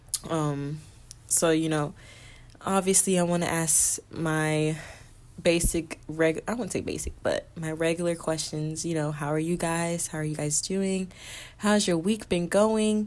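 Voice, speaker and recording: Fairly low in pitch, a woman talks at a fairly slow pace. Her intonation is fairly even. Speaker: podcast host. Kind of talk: casual solo podcast monologue. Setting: recording late at night. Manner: talking low.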